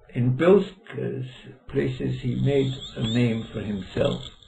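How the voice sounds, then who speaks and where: A man speaks at a fairly slow pace. His pitch swings very widely. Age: 80s+. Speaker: law professor. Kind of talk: oral history interview. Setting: library. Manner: halting. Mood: calm, reflective reminiscing.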